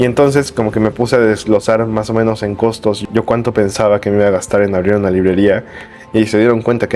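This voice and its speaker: There is noticeable background noise. Over it, a man talks in a monotone, flat intonation. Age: 20s. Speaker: bookseller. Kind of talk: vlog monologue. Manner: casual, hesitant.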